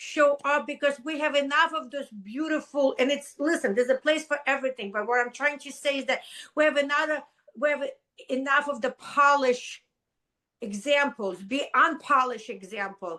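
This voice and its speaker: A woman's high, raised and projected voice with a non-native accent, a bright, sharp tone, ordinary pitch variation and a moderate pace. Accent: foreign. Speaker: business coach. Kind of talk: podcast interview. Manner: animated.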